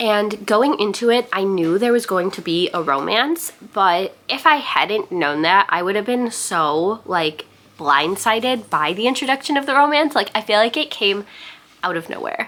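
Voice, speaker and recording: Over noticeable background noise, a woman talks at a moderate pace and medium pitch with very wide pitch swings. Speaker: booktuber. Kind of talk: vlog. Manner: casual, chatty.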